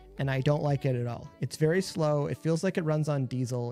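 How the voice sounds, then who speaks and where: Someone mumbles at a very fast pace with ordinary pitch variation, the sound dry and close with no echo, while music plays in the background. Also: man. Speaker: gaming streamer. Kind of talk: live stream gameplay commentary. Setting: home streaming setup. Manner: mumbling; soft-spoken.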